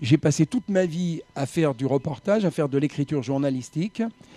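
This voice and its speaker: Over music in the background, a man speaks at a fairly high pitch with ordinary pitch variation in a dry, close sound with no echo. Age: 70s. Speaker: writer and former racing journalist. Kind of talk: radio interview.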